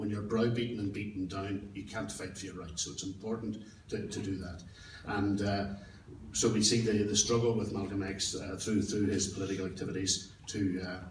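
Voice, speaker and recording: Over noticeable background noise and audible room echo, a man with a Derry accent talks at a fairly low pitch in a monotone, flat intonation. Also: moderate pace. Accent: Northern Irish (Derry). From Northern Ireland, Derry. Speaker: political activist speaker. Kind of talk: public speech.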